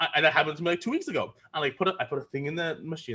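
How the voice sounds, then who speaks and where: We hear a man. His voice is pitched fairly high. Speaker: online class instructor. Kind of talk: lecture. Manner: fast; animated.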